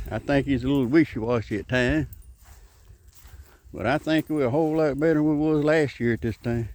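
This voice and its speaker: In a very clean recording with a silent background, a man with a Southern US accent and a fairly high pitch speaks at a fairly quick pace, with ordinary pitch variation and long, frequent pauses. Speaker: political commentator vlogger. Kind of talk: casual monologue.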